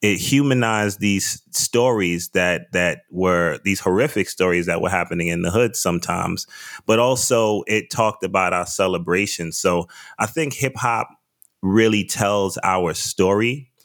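With a New York accent, a man talks at a moderate pace in a fairly low pitch with ordinary pitch variation. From US, the Bronx, New York. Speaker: wine importer and podcast host. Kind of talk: interview.

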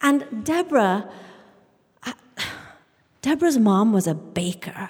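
A woman with a British accent speaks in very wide pitch swings. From England, Indian family. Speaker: storyteller. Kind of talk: live storytelling on stage, present-tense childhood memoir. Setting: stage with audience in a church.

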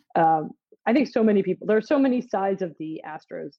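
Speaking in an American accent at medium pitch, a woman moves through very wide pitch swings. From Philadelphia, US. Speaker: baseball writer. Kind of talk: casual chat.

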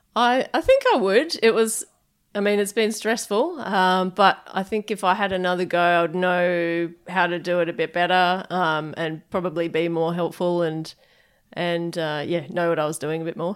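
A woman speaks with an Australian accent and fairly even intonation. The recording is very clean, with a silent background. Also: moderate pace. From Perth, Western Australia. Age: 30s. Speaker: head brewer. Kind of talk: interview. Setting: brewpub offices.

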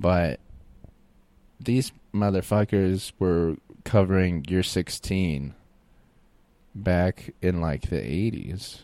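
A man with an American accent and a very deep, low pitch speaks at a very slow pace with long, frequent pauses, in a very clean recording with a silent background. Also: ordinary pitch variation. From Florida, Tampa area. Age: 30s. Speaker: comedy podcast host. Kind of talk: casual solo monologue.

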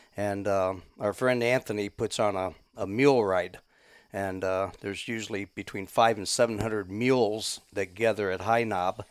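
The recording is very clean with a silent background. An ordinary speaking voice with an American accent moves at a moderate pace with fairly even intonation. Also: man, fairly low pitch for a man. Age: 60s. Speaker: hunter, deer camp host. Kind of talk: casual chat.

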